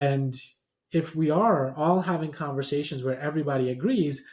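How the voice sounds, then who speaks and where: Somewhat breathy delivery at a moderate pace. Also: man. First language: not English. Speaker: professor and podcast host. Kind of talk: lecture-style presentation.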